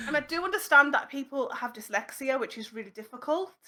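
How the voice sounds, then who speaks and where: Bright and sharp in tone, a woman's high voice moves through very wide pitch swings. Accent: Cumbrian. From Cumbria, northern England (Whitehaven area). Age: 30s. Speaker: streamer and musician. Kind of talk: casual chat.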